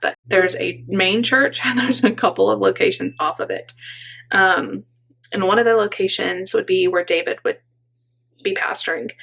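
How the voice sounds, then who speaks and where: The raspy, put-on character voice moves along at a moderate pace. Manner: talking very fast.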